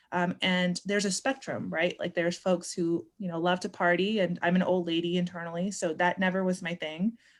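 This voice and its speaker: A woman with a Californian accent, fairly low in pitch, monotone and flat, at a fairly quick pace on a very clean recording with a silent background. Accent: Californian American English. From Northern California (born Pakistan, moved at seven). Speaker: educator. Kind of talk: interview.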